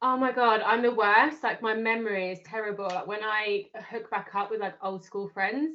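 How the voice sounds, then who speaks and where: A woman's fairly high voice in a British accent, with fairly even intonation, a moderate pace and hardly any pauses. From UK. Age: 30s. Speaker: life coach. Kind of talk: casual chat.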